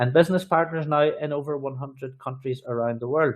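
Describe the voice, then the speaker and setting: With an Irish accent, a man speaks at a moderate pace and a fairly high pitch, using ordinary pitch variation. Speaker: sales trainer and business presenter. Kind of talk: sales pitch.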